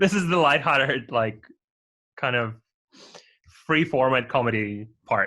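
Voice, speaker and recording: A man with a non-native accent speaks at a medium pitch and a fairly slow pace, his bright, sharp tone holding very even loudness and ordinary pitch variation through long, frequent pauses. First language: not English. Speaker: podcast co-host. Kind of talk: casual chat.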